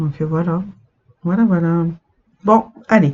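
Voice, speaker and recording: A woman with lively intonation, speaking at a fairly slow pace. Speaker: cross-stitch vlogger. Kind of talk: casual chat.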